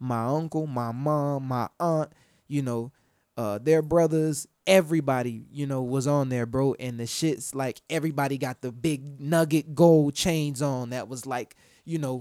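A dark, mellow tone with an American accent at a moderate pace, ordinary pitch variation, and a dry, close sound with no echo on a very clean recording with a silent background. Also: man. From Florida and Georgia, US South. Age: 20s. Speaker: rapper. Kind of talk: casual interview chat. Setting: studio.

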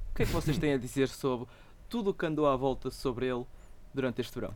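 Someone with a European Portuguese accent talks at a very fast pace in a very clean recording with a silent background. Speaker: podcast host. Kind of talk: casual chat.

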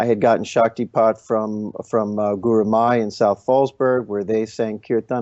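This is an ordinary speaking voice, a man at a medium pitch. He keeps a moderate pace and fairly even intonation. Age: 50s. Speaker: kirtan musician. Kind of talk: interview conversation.

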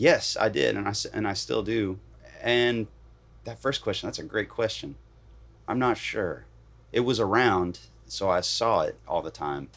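A man speaks at a moderate pace with a fairly low pitch and vocal fry. His intonation is lively, and his speech has long, frequent pauses. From Virginia, Bridgewater. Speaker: professional guitarist. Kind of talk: casual interview. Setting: parked camper van.

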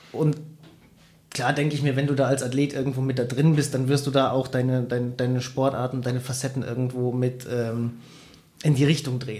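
A man speaks at a fairly quick pace in a flat monotone, his dark, mellow tone somewhat breathy. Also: medium pitch for a man. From Bavaria, Germany (Bayrischzell, south of Munich). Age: 30s. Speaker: bike mountaineer and adventure athlete. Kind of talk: interview. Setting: studio.

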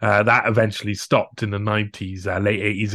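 A man speaks with a Cardiff accent. The recording is very clean, with a silent background. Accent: Welsh (Cardiff). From Wales, Cardiff. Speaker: investigative journalist. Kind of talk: interview conversation. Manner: halting, many fillers.

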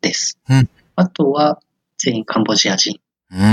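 A man's voice moves through very wide pitch swings. The sound is dry and close, with no echo. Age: 20s. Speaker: software engineer. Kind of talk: interview. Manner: hesitant, many fillers.

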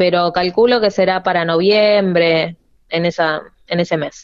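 With a medium pitch, a woman talks fairly slowly. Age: 30s. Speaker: professional wrestler. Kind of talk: interview. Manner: halting.

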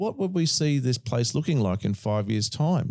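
Fairly quick and dark, mellow in tone, a man with an Australian accent speaks at medium pitch in a very clean recording with a silent background. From Queensland, Australia. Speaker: podcast host. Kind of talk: casual chat.

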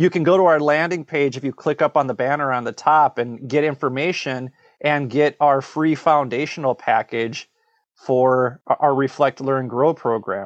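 In an ordinary speaking voice, a man with an American accent talks at a moderate pace, fairly high in pitch, with fairly even intonation. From Minnesota. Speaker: podcast co-host and course creator. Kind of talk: interview conversation. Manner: repetitive false starts.

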